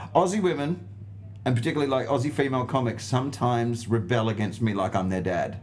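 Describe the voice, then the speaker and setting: In an Australian accent, a somewhat breathy voice speaks at a fairly quick pace with ordinary pitch variation. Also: man. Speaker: stand-up comedian. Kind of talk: casual chat. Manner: animated.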